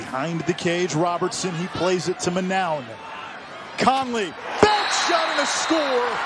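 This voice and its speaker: Noticeable background noise surrounds a man speaking at a fairly slow pace. His high-pitched voice has lively intonation. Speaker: play-by-play announcer. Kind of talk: live play-by-play lacrosse commentary. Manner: clipped, staccato name-and-action phrasing.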